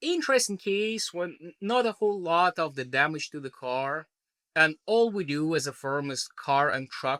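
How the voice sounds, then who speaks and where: A man with a bright, sharp tone and lively intonation at a fairly slow pace, on a very clean recording with a silent background. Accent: Belarusian. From Belarus. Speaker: trial lawyer. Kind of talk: podcast interview answer. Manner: casual, conversational.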